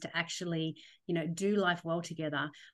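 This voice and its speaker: Against a quiet background, a woman with an Australian accent talks at a moderate pace in a fairly low pitch. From Australia, Sydney. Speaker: theologian, former church minister. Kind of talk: podcast interview.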